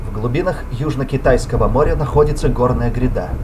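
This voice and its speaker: A man speaks at a medium pitch with ordinary pitch variation. His pace is moderate, and background noise is noticeable. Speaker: amateur voice-over artist. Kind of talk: movie dub opening narration and credits read.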